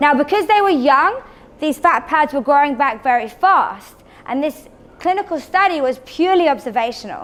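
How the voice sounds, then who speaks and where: A high-pitched woman's voice with very wide pitch swings over noticeable background noise. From England. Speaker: cosmetic treatment specialist. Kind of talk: presentation to audience. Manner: fast; enthusiastic.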